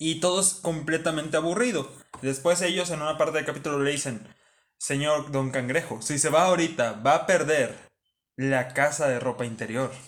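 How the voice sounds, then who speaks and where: Ordinary pitch variation from a man at a moderate pace. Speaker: podcast co-host. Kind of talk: casual chat.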